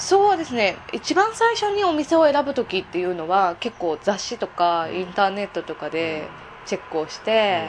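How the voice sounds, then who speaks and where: A woman's medium-pitched voice with very wide pitch swings, a moderate pace and noticeable background noise. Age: 20s. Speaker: escort and part-time entertainer. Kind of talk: casual interview.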